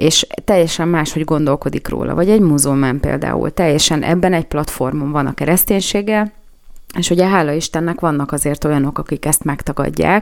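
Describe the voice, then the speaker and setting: A woman's very deep, low voice with vocal fry, ordinary pitch variation and a fairly quick pace. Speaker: radio news-analysis host. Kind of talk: solo radio commentary. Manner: hesitant with fillers.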